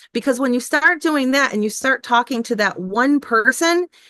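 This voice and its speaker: A woman with an American accent talks at a moderate pace with lively intonation and an unremarkable speaking voice. The sound is dry and close with no echo, over a quiet background. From United States. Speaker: life coach and online teacher. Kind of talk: podcast interview. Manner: conversational with many fillers.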